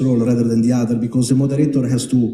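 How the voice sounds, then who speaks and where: In an Italian accent, a man talks at a medium pitch in a dark, mellow, somewhat breathy tone with monotone, flat intonation and audible room echo. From Italy. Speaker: panel moderator. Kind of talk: panel introduction. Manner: halting.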